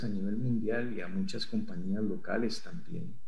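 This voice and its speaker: At a moderate pace, a man talks in a plain, everyday voice with lively intonation. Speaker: security consultant. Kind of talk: interview.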